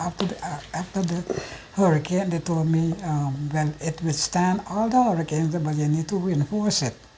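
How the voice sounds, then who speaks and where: Against noticeable background noise, a woman speaks at a fairly low pitch with ordinary pitch variation. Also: hardly any pauses. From Curacao. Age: 70s. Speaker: senior citizen interviewee. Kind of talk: personal testimony interview.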